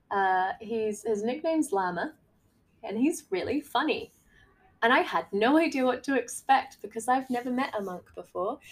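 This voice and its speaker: A high-pitched woman with very wide pitch swings and an Australian accent. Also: moderate pace. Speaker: podcast host, life coach. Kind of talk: casual monologue. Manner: animated.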